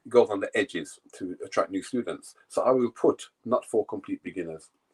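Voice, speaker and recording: At a fairly quick pace, a man with a British accent speaks in a dry, close sound with no echo. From England. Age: 60s. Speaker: yoga teacher. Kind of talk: casual interview.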